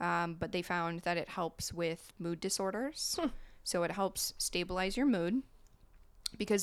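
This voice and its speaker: A woman with an American accent and a plain, everyday voice talks at a fairly slow pace, her medium pitch moving with ordinary variation, on a very clean recording with a silent background. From US Midwest, small-town Ohio. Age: 30s. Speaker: podcast guest sharing mental health experience. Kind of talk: casual chat.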